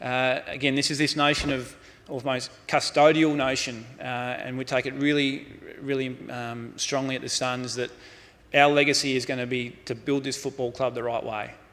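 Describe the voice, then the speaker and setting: A man with an Australian accent, monotone and flat in intonation. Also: medium pitch for a man. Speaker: football club executive, keynote speaker. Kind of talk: conference keynote. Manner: fast.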